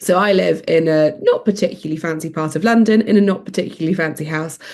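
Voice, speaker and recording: A woman with a fairly low voice talks at a very fast pace with ordinary pitch variation over noticeable background noise. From England, upper-class background. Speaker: interviewee. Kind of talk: interview.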